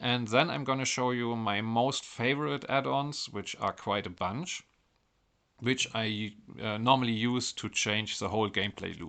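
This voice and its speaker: Over a quiet background, a man with a German accent talks at a moderate pace in a medium pitch, his tone bright and sharp and his pitch variation ordinary. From Germany. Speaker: mobile game modding content creator. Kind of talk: game tutorial narration.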